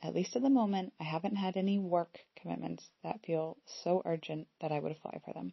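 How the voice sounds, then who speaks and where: Using an American accent, a woman speaks fairly quickly at a fairly low pitch. Her voice is somewhat breathy, with ordinary pitch variation. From US Pacific Northwest. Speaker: podcast host and coach, former university lecturer. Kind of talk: solo podcast monologue, reflective.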